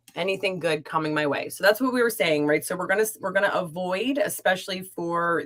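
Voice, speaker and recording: A woman's fairly low-pitched voice, fairly quick in pace, with an energetic tone and lively intonation. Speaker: tarot card reader. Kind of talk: livestream card readings chat. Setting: live stream. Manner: chatty, energetic.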